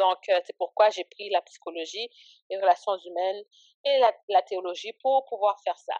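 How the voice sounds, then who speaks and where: Recorded with a dry, close sound and no echo, a woman talks at a moderate pace and medium pitch, with ordinary pitch variation and big swings in loudness. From Canada, Ottawa area, Haitian-born. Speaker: ministry founder. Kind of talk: casual interview, faith testimony. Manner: hesitant, many fillers.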